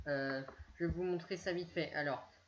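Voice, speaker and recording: A woman's fairly low voice, with ordinary pitch variation, proceeds at a moderate pace. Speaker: YouTuber. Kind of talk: screen-share tutorial. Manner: halting, many fillers.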